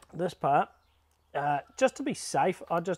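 A man with a high-pitched voice. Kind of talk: tutorial. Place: garden. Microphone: phone near.

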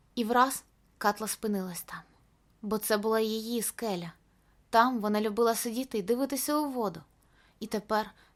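The speaker reads in an unforced voice, with intonation that stays fairly even.

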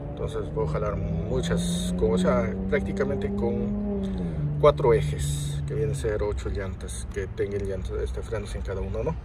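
A man speaks fairly slowly in a dry sound with no echo while loud background noise plays. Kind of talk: casual product walkthrough. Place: car. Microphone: phone near.

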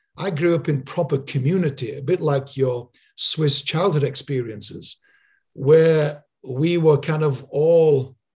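A somewhat breathy man with a fairly high pitch and ordinary pitch variation, over a quiet background. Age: 60s. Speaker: podcast host. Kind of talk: interview. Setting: video call. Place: home room. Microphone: studio mic.

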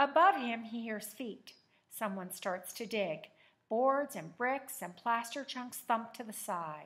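Text read aloud in a natural voice

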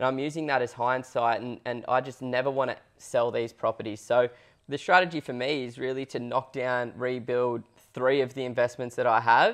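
A man with an Australian accent talks at a moderate pace and medium pitch, his intonation fairly even, against a quiet background. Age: 20s. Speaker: property investment podcast co-host, buyer's agent; property investment podcast co-host. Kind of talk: casual chat. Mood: relaxed, earnest. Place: studio. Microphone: lapel.

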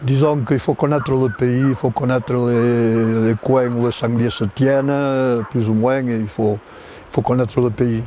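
Speech comes at a very slow pace in a flat monotone, the sound dry with no echo and light background noise. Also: man. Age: 80s+. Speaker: hunt houndsman. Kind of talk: documentary interview answer. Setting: outdoors. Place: forest.

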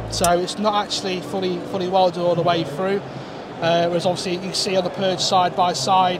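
A man speaks with music playing in the background. The sound is dry, with no echo. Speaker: welding demonstrator. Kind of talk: interview answer. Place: hall. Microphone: lapel.

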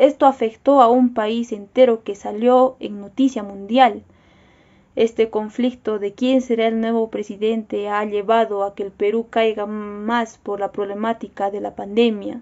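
A woman speaks at a fairly slow pace in a fairly high pitch, her intonation monotone and flat. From Peru, Cusco; Peru. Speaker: university student. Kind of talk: personal video statement. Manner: formal. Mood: serious, concerned. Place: home room. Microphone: phone near.

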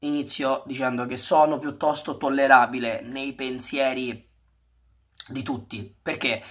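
The background stays quiet. A man talks fairly slowly. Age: 20s. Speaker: football YouTuber; football vlogger. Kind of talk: vlog monologue. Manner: halting, with many repetitions. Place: home room. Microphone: webcam.

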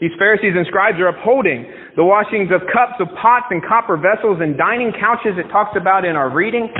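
The man talks at a fairly quick pace with a high pitch and ordinary pitch variation. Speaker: pastor. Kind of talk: sermon. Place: church.

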